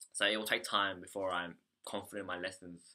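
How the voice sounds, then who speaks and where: Fairly low and bright, sharp in tone, a man's voice carries an Australian accent and fairly even intonation. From Australia, Melbourne. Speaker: English conversation teacher, vlogger. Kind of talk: video diary. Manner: halting, many fillers.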